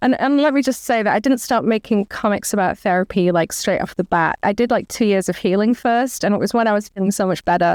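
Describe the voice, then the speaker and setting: A woman with an English accent and medium pitch speaks at a very fast pace with very even loudness and hardly any pauses, in a dry, close sound with no echo. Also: ordinary pitch variation. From England. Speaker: author and comic artist. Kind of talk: interview.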